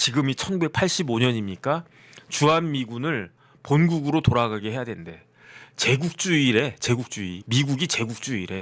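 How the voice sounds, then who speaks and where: On a very clean recording with a silent background, a man with a medium pitch speaks at a fairly slow pace in an animated tone with lively intonation. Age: 50s. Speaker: lawyer and political commentator. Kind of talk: political commentary monologue.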